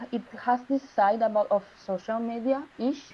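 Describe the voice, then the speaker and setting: A fairly slow pace with ordinary pitch variation. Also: woman. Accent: Spanish. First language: Spanish. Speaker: design student. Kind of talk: project presentation Q&A. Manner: halting.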